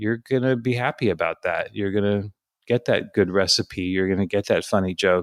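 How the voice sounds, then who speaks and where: A man with an ordinary speaking voice talks at a moderate pace and fairly low pitch, his intonation fairly even. The recording is very clean with a silent background, dry and close with no echo. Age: 60s. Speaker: content writer, former journalist. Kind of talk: interview.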